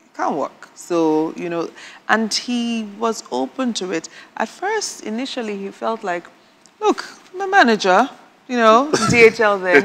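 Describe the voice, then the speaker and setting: Noticeable background noise surrounds a woman's fairly high voice with very wide pitch swings. She talks at a fairly slow pace, leaving long, frequent pauses. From northern Nigeria, Edo State parents. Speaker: married guest on a couples show. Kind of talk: casual chat.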